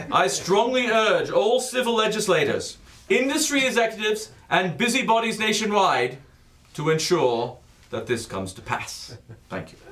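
Moderately paced, a man speaks with lively intonation and big swings in loudness. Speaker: comic performer reading pieces. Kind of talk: comedic dramatic reading. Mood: grandiose, mock solemn. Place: stage.

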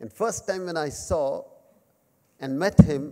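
A man's dark, mellow tone at a fairly slow pace against a quiet background. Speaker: guest speaker at memorial lecture. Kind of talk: speech. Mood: warm, reminiscing. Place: hall. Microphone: podium.

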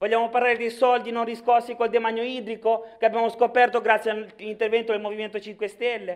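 Against a quiet background, a man with a Sicilian accent talks at a very fast pace and a high pitch. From Sicily, Palermo; Sicily. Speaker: regional politician. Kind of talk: political speech in assembly. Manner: animated, forceful. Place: hall. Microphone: podium.

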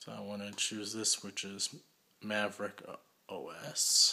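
A bright, sharp tone marks this man's speech. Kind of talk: tutorial. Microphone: phone near.

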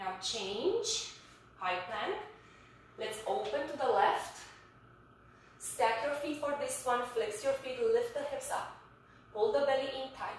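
A woman speaks very slowly at a high pitch, her pitch swinging very widely, with long, frequent pauses. Strong room echo and light background noise fill the recording. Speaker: fitness instructor. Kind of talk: guided yoga class, calm step-by-step cueing. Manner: soft, slow, soothing pace with pauses for breathing; instructive, clear and directive. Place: home room. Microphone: camera far.

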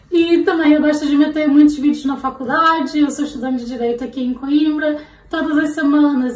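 A woman talks at a high pitch and a moderate pace. Room echo is audible. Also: hardly any pauses. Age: 20s. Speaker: fashion vlogger and law student; fashion vlogger. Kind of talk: casual fashion vlog. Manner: animated. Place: home room. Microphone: phone near.

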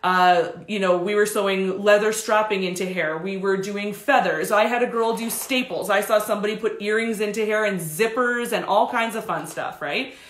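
At a moderate pace, a woman talks with ordinary pitch variation amid audible room echo. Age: 30s. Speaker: hair stylist educator. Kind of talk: live tutorial stream. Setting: home studio, live stream. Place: studio.

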